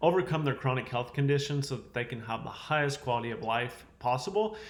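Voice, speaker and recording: In a Southern US accent, the speaker talks at a fairly quick pace, somewhat breathy, with ordinary pitch variation. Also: man. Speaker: chiropractor health educator. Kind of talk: health education talk to camera. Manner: casual, conversational.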